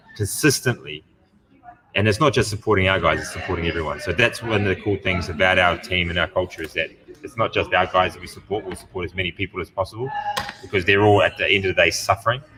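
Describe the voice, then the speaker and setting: Over music in the background, a man with a fairly low pitch talks at a very fast pace. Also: ordinary pitch variation. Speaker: gym owner and podcast host. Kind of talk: casual chat. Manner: animated.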